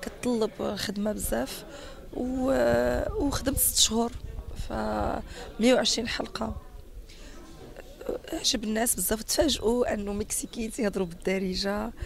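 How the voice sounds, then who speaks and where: Noticeable background noise sits behind the voice. A woman talks at a fairly slow pace with a Moroccan accent. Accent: Moroccan Arabic (Darija). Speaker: actress and dubbing artist. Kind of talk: interview.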